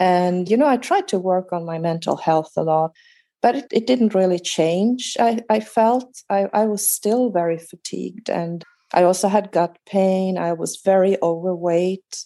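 A woman speaks at a fairly slow pace in a dark, mellow tone. Her medium pitch shows ordinary pitch variation. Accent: Swedish. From Sweden. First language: Swedish. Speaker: guest with chronic fatigue. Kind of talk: casual interview.

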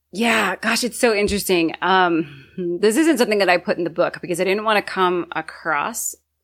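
A woman with a normal speaking voice talks at a fairly quick pace, her medium pitch showing ordinary pitch variation. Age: 30s. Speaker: author. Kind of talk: interview.

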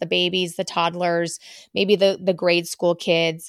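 In a normal speaking voice, a woman talks at a moderate pace and medium pitch, with a dry, close sound with no echo and a very clean recording with a silent background. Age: 40s. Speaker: podcast host. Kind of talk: casual monologue. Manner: warm, conversational.

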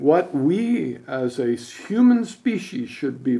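A dark, mellow tone with very wide pitch swings and an American accent. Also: man. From Utah. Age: 70s. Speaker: conservation foundation co-founder. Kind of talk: interview.

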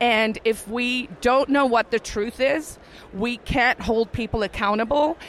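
Fairly high pitch from a woman at a fairly slow pace, with ordinary pitch variation and noticeable background noise. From South Africa. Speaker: libertarian activist and former lawyer. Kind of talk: interview.

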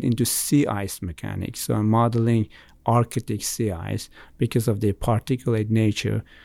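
Dry and close with no echo, this very clean recording has a silent background. A man speaks at a medium pitch with fairly even intonation. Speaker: engineering professor. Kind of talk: casual interview. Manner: fast talker.

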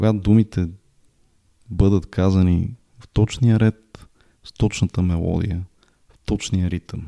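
Fairly low and dark, a man's mellow voice moves at a fairly slow pace with ordinary pitch variation. The sound is dry and close, with no echo. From Bulgaria. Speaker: podcaster. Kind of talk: solo monologue podcast.

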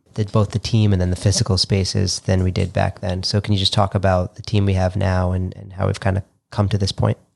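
Speaking very fast with hardly any pauses, a man with an American accent has a very deep, low, somewhat breathy voice and monotone, flat intonation, recorded with a dry, close sound and no echo. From Long Island, New York. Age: 30s. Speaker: physical therapist. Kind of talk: casual chat.

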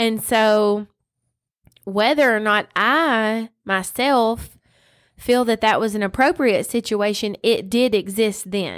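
Very slowly and at a fairly high pitch, a woman speaks in a Southern US accent on a very clean recording with a silent background. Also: ordinary pitch variation. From US South, West Tennessee. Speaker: podcast co-host. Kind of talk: casual Bible discussion. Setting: home studio.

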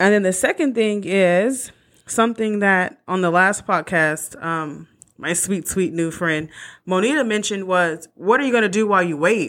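An ordinary speaking voice from a woman, medium in pitch with ordinary pitch variation, at a moderate pace on a very clean recording with a silent background. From California. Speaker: podcast host. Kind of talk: casual monologue.

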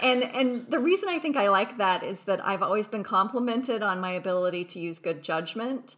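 A woman with a plain, everyday voice, fairly high in pitch, speaks at a fairly quick pace with lively intonation and hardly any pauses. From Utah. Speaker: corporate lawyer. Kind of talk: interview.

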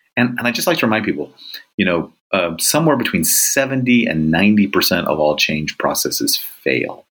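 Speaking at a moderate pace, a man talks with a Californian accent. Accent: Californian American. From Southern California. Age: 50s. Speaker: leadership author and executive coach. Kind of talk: interview.

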